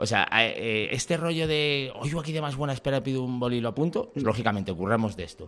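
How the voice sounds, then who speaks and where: Using an ordinary speaking voice, a man talks at a medium pitch and a fairly quick pace with lively intonation. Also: hardly any pauses. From Valladolid, Spain. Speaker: comedian. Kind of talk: casual chat.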